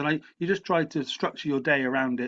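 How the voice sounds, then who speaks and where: This man speaks. He has an English accent. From England. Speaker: writer and lecturer. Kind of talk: interview. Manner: halting, with repetitions.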